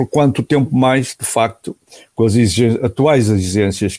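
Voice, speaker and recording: A dark, mellow tone comes through a dry, close sound with no echo, at a moderate pace with ordinary pitch variation. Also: man. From northern Portugal, Porto. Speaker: motorsport club president and former racing driver. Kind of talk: interview. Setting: remote call.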